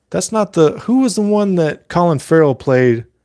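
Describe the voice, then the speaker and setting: A loud man with an American accent speaks in a high pitch with a dark, mellow tone. His pace is fairly slow, and his pitch swings very widely. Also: very clean recording, silent background. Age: 30s. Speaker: mask maker and YouTuber. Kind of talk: casual live stream chat. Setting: live stream.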